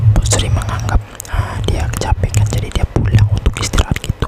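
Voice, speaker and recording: The voice is whispering. Noticeable background noise can be heard. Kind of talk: ASMR horror story narration for sleep. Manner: stiff, hesitant delivery.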